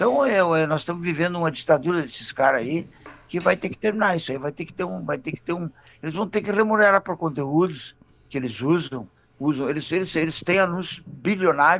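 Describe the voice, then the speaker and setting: A high-pitched male voice at a fairly quick pace, with ordinary pitch variation. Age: 70s. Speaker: cartoonist. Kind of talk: radio interview. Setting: radio studio. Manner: animated; halting, many repetitions.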